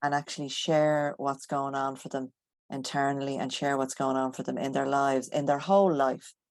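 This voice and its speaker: A woman speaks with an Irish accent in a very deep, low pitch. Her intonation is monotone and flat, at a moderate pace. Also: quiet background. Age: 60s. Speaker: guest. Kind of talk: interview.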